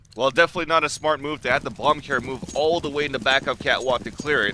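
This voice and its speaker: Talking at a very fast pace, a man with a fairly high pitch is heard over noticeable background noise. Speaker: esports commentator. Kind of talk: live commentary. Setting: live event venue near players.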